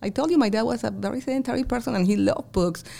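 This woman has an American accent and lively intonation. Vocal fry runs through her voice. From outside the US. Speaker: accountant and business owner. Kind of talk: interview conversation. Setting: her office.

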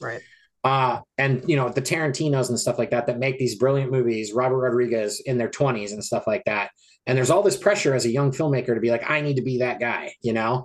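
Someone talks very fast with an American accent and ordinary pitch variation. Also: man, medium pitch for a man. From US small town. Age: 40s. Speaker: film editor and independent horror filmmaker. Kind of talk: interview.

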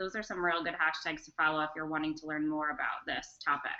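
A woman with an American accent talks at a fairly quick pace in a fairly low pitch, in a plain, everyday voice. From North Carolina, Charlotte. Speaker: educational technology specialist. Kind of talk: online interview and screen-share demo.

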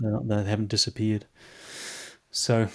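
A man with a New Zealand accent and a fairly low-pitched voice. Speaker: clinical psychologist. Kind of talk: interview conversation. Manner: halting, many fillers and repetitions.

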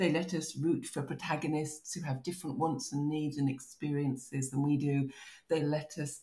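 Somewhat breathy and dark, mellow in tone, this voice in a southern English accent moves at a moderate pace with ordinary pitch variation. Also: woman. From southern England (Kent). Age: 50s. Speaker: novelist. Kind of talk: podcast interview.

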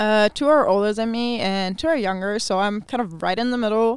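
A woman with a German accent talks at a fairly quick pace, her fairly high voice showing ordinary pitch variation. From Germany. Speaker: visitor from Germany living with host family. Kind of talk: casual chat. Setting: studio booth. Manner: laughs often.

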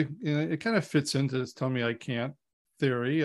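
A man's normal speaking voice at fairly high pitch and a fairly quick pace, over a quiet background. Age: 60s. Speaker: podcast host and business advisor. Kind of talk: interview.

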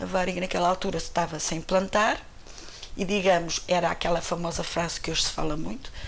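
Flat, monotone intonation comes through with audible room echo and noticeable background noise. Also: woman. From Portugal, Cascais near Lisbon. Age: 60s. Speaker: retired airline employee. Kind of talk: interview testimony.

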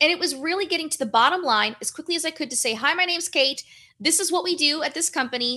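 A woman talks very fast in a raised, projected, high voice. Her tone is bright and sharp, with lively intonation. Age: 30s. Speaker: brand strategist and author. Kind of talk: interview.

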